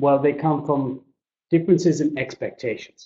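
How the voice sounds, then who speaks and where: Somewhat breathy, a man speaks with an Irish accent. His pace is moderate. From Ireland. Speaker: business English trainer. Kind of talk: webinar presentation. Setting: webinar.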